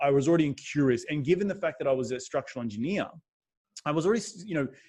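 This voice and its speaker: Somewhat breathy and fairly high-pitched, a man with an Australian accent speaks at a very fast pace with lively intonation. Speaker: real estate investor. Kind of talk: podcast interview. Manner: animated.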